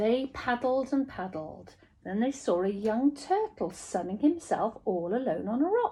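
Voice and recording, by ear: A woman talks at a fairly slow pace in a fairly high pitch with big swings. Her tone is dark and mellow, with a slightly husky edge.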